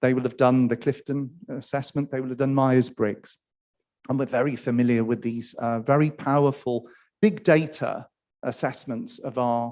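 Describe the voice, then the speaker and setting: With a Welsh accent, a man speaks at a moderate pace in a dark, mellow tone with fairly even intonation over a quiet background. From Wales. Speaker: academic panelist. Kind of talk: conference panel talk.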